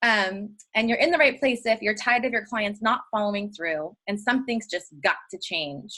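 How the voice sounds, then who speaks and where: Lively, animated delivery with a bright, sharp tone at a moderate pace, running on with hardly any pauses. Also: woman, fairly high pitch for a woman. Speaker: health coach trainer. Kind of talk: webinar training.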